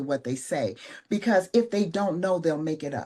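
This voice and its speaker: This woman has a dark, mellow tone, a fairly low pitch and lively intonation. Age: 60s. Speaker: mentor and speaker. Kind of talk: interview.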